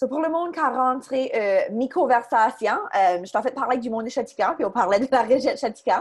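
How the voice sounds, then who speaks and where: Talking at a fairly quick pace, a woman uses a high-pitched voice. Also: lively intonation. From Chéticamp, Cape Breton, Nova Scotia (Acadian). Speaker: social media marketing consultant, workshop presenter. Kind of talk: online workshop presentation. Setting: video call. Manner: fast; hesitant fillers.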